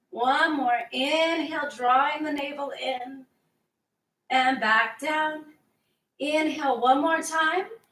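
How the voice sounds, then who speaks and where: With a high pitch and a bright, sharp, calm tone, a woman speaks very slowly with fairly even intonation. She takes long, frequent pauses, and audible room echo surrounds her. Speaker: fitness instructor. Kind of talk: workout instruction. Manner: slow, calm cueing.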